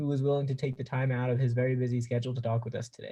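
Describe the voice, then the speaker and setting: This man speaks with an American accent at a medium pitch, his intonation fairly even. His tone is dark and mellow, and somewhat breathy. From Pennsylvania, US. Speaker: student host. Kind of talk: interview introduction.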